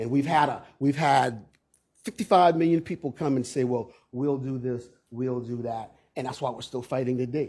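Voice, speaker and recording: A man with an American accent speaks at a medium pitch and a moderate pace. His voice is somewhat breathy, with ordinary pitch variation. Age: 60s. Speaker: local resident speaking at zoning hearing. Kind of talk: public hearing testimony. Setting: public meeting room.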